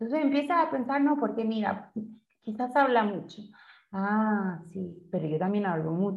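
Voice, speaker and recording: Somewhat breathy speech with lively intonation, delivered at a fairly slow pace. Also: woman, medium pitch for a woman. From Chile, Santiago. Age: 30s. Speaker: yoga teacher. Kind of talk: interview.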